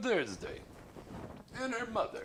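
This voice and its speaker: A man with an American accent talks at a fairly quick pace, with audible room echo and noticeable background noise. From New York City (Queens). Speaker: talk show host. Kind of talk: casual chat.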